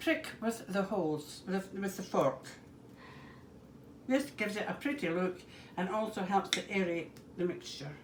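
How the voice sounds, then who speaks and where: A woman in a Scottish accent, lively in intonation, with long, frequent pauses. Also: medium pitch for a woman, moderate pace. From Scotland, Edinburgh. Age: 70s. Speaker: home cook demonstrating a recipe. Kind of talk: cooking demonstration.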